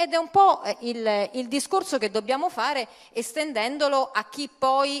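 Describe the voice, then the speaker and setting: A woman's high-pitched, lively voice at a fairly slow pace, over a quiet background. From Italy. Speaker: party culture and tourism spokesperson; tourism spokesperson. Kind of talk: panel debate. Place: stage. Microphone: handheld.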